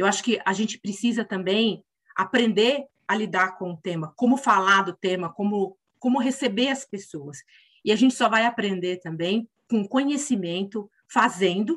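In an unremarkable speaking voice, someone talks at a moderate pace with lively intonation. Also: woman. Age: 50s. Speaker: corporate representative. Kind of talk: interview.

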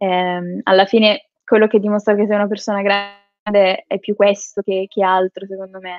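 A woman at medium pitch speaks at a moderate pace with hardly any pauses, her intonation monotone and flat but her loudness swinging widely. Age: 20s. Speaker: psychology student and social media creator. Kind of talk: interview.

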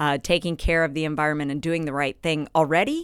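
This woman has a very deep, low voice and an American accent. The recording is very clean, with a silent background. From Kansas. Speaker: rancher. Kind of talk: podcast interview.

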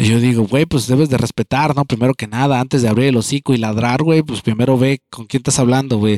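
Over a very clean recording with a silent background, a man talks very fast in a dark, mellow tone with hardly any pauses. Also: medium pitch for a man, dry, close sound with no echo. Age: 30s. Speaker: podcaster. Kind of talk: casual monologue. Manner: animated.

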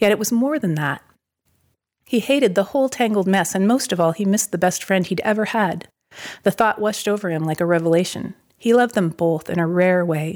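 A woman uses an ordinary speaking voice, talking fairly quickly with ordinary pitch variation. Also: medium pitch for a woman, very clean recording, silent background. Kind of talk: reading aloud a short story.

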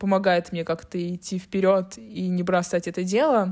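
A woman talks in a normal speaking voice at medium pitch. Her pace is fairly slow. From St. Petersburg, Russia. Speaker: podcast co-host, photographer. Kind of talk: casual chat.

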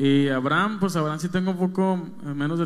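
With an unremarkable speaking voice, a man talks at a moderate pace in a fairly high pitch. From Mexico, Monterrey. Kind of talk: interview conversation.

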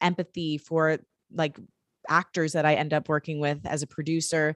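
Speaking with an American accent, a woman uses a plain, everyday voice at a fairly low pitch and a moderate pace. The sound is dry and close with no echo, over a quiet background. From Detroit, Michigan. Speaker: podcast producer and indie musician. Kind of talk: casual interview chat.

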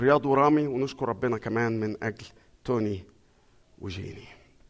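An unremarkable speaking voice from a man, moderately paced, with lively intonation. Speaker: pastor. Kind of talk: sermon.

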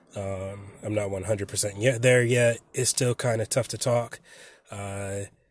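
A man speaks at a fairly slow pace with fairly even intonation. His voice is somewhat breathy, and the recording is very clean with a silent background. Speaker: podcast host. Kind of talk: solo casual monologue. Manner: halting, many fillers.

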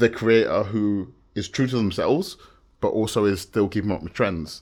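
A man with a southern English accent at a moderate pace, with ordinary pitch variation, in a very clean recording with a silent background. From London outskirts, England. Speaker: musician and videographer. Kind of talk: casual chat.

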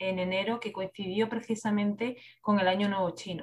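A woman speaks in a Spanish accent at a medium pitch, her voice somewhat breathy and her intonation flat and monotone. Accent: Peninsular Spanish. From Spain. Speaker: creative writing teacher. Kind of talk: interview.

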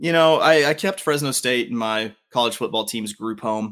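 Speaking with a Southern US accent at a fairly quick pace, the voice has lively intonation on a very clean recording with a silent background. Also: man. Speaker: podcast co-host. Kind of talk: casual banter about sports.

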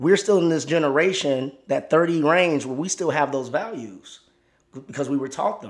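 This man sounds animated, with a fairly high pitch. He keeps a moderate pace and ordinary pitch variation. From Chicago. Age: 30s. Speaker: guest. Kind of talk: casual chat.

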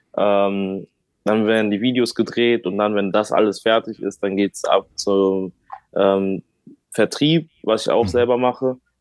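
A man with a normal speaking voice talks at a fairly slow pace, his pitch fairly low and his intonation fairly even. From Germany, Bonn area. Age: 20s. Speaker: rapper. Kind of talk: casual interview chat.

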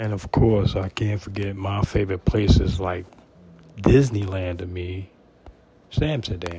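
A man speaks at a fairly slow pace with a fairly low pitch. Noticeable background noise can be heard. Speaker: podcast host. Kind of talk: personal monologue. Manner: informal, unpolished.

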